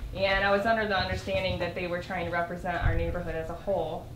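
A woman's voice with light background noise and audible room echo. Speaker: resident addressing council. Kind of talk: public comment. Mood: earnest, slightly nervous. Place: hall. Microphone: camera far.

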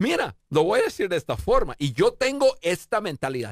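A man speaks in a dry sound with no echo against a quiet background. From United States. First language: English (speaking Spanish). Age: 50s. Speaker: leadership expert; interview guest, leadership coach. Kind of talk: interview. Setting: studio. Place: studio. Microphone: studio mic.

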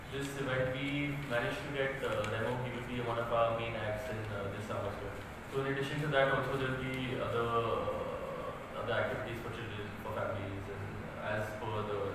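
A man talks at a fairly quick pace, with noticeable background noise and strong room echo. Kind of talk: press briefing. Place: hall.

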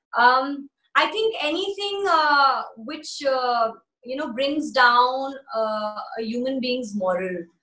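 Very slowly, a woman speaks in a high voice with very wide pitch swings. Audible room echo fills the quiet background. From Bombay, India and the US. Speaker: actress and singer; actress-singer interviewee. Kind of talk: interview. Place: home room. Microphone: phone near.

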